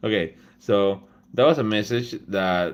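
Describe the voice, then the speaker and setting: Very clean, with a silent background, this recording features a man with a Spanish accent. His pitch sits fairly low. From Peru. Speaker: laser engraving content creator. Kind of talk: live stream talk.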